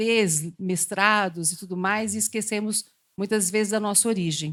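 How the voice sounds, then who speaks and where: A woman's ordinary speaking voice with ordinary pitch variation, on a very clean recording with a silent background. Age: 60s. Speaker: psychologist. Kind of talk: panel talk.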